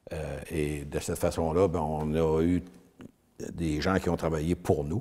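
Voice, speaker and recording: A man's very deep, low voice in a monotone, flat intonation, over noticeable background noise. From Quebec, Eastern Townships. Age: 70s. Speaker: retired granite businessman. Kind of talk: interview.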